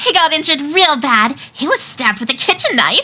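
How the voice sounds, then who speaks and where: This put-on character voice is high in pitch and moves at a moderate pace. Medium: fan dub. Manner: deadpan.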